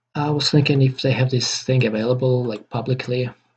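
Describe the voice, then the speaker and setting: Somewhat breathy, a man with a non-native accent speaks at a fairly quick pace, with medium pitch and fairly even intonation. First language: not English. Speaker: game developer. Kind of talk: tutorial. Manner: halting, many repetitions and fillers.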